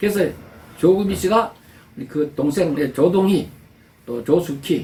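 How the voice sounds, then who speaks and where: Speaking at a fairly slow pace, a man with a high pitch and a dark, mellow tone shows ordinary pitch variation and big swings in loudness. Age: 70s. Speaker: pastor. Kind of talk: sermon. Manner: halting.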